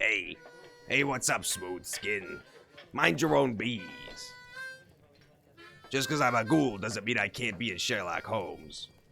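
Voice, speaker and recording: A man in a put-on character voice, raspy and at a medium pitch, going at a fairly slow pace with long, frequent pauses over faint music in the background. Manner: sly, mocking.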